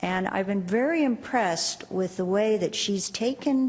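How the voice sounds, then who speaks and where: A woman talks at a fairly slow pace with lively intonation. Her voice is medium in pitch, and noticeable background noise is present. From USA. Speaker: professor and panel chair. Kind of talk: panel introduction. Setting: conference stage with audience.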